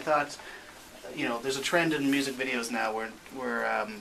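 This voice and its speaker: A man with fairly high pitch at a fairly quick pace, ordinary pitch variation, audible room echo and noticeable background noise. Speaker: filmmaker. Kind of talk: radio interview. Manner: soft-spoken; halting. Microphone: too quiet, level turned up.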